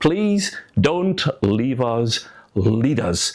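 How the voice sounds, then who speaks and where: Against noticeable background noise, a man talks with a Scottish accent. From Scotland. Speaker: former politician, political commentator. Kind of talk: political commentary monologue.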